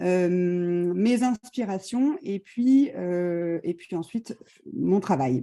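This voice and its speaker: The delivery is very slow, with lively intonation. The tone is dark and mellow. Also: woman, medium pitch for a woman. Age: 40s. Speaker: visual artist. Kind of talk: presentation. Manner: halting.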